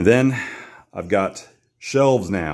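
Fairly slow male speech over a quiet background. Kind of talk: casual vlog chat. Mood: relaxed, pleased. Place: garage. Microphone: phone near.

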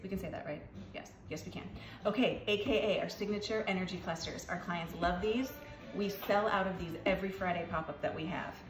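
Clear music plays behind the voice. The delivery moves at a fairly quick pace with ordinary pitch variation. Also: woman. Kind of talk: cooking tutorial. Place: kitchen. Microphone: phone near.

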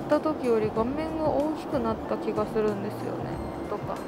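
A woman talks at a moderate pace over music in the background. The sound is dry, with no echo. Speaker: traveler vlogger. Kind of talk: casual vlog chat. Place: plane. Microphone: phone near.

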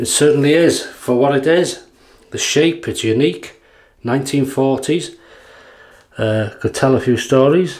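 In a North Welsh accent, a man speaks at a fairly slow pace with long, frequent pauses and ordinary pitch variation against a quiet background. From North Wales. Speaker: YouTube wet shaving reviewer; shaving vlogger. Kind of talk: casual product demo while shaving. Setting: home video recording. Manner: relaxed, chatty with fillers. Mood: relaxed, light-hearted. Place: bathroom. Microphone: phone near.

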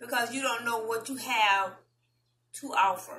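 A woman with a Southern US accent, a fairly high pitch and a bright, sharp tone, with audible room echo

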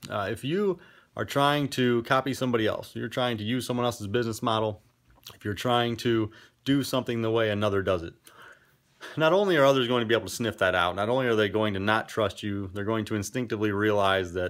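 Over a quiet background, the speech moves at a very fast pace. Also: man, ordinary pitch variation. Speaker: men's coaching blogger. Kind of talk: casual vlog talk. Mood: earnest, serious. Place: gym. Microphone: phone near.

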